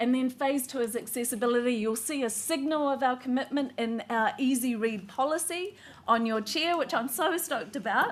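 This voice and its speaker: Noticeable background noise sits behind a woman talking at a high pitch with hardly any pauses. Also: ordinary pitch variation, moderate pace. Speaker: politician. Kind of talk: political speech.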